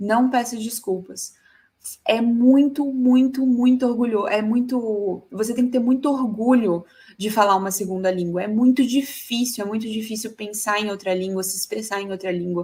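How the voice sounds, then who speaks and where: Her pitch is fairly high and varies in an ordinary way. The woman has an unremarkable speaking voice and talks at a moderate speed. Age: 30s. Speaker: tech conference speaker. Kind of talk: conference talk.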